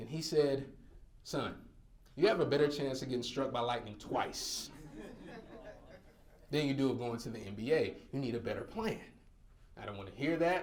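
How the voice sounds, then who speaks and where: With audible room echo, a man with a slight Southern US accent speaks in an animated tone at a fairly high pitch. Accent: slight Southern twang. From North Carolina. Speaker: motivational speaker. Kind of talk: keynote speech. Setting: stage with audience.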